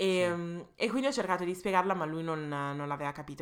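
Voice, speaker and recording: The woman's tone is bright and sharp. She keeps a fairly even intonation. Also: very clean recording, silent background. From England. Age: 20s. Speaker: podcast co-host. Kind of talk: casual chat. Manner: fast, talkative.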